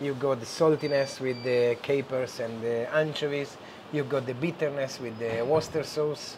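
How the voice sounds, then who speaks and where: A man with a strong Italian accent speaks at a medium pitch and moderate pace, his intonation fairly even, over noticeable background noise. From Genoa, Italy. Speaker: chef and restaurant owner. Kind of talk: cooking demonstration.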